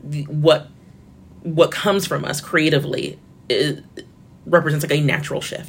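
A woman speaks in a very deep, low pitch with an American accent. Her intonation stays fairly even. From Florida. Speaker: media editor and journalist. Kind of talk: interview. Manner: casual with filler words.

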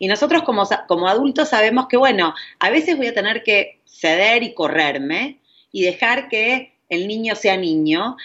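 This woman's fairly high voice moves through very wide pitch swings at a fairly slow pace. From Argentina. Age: 40s. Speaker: parenting coach. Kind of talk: interview conversation.

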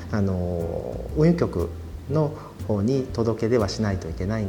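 Fairly low male voice with very wide pitch swings, audible room echo and noticeable background noise. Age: 30s. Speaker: company president. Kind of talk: interview.

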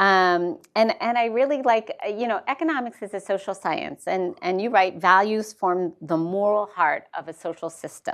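Against a quiet background, a woman with a plain, everyday voice at a medium pitch talks at a moderate pace with lively intonation and hardly any pauses. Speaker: moderator at think tank. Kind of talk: moderated book talk. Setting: in-person event with audience.

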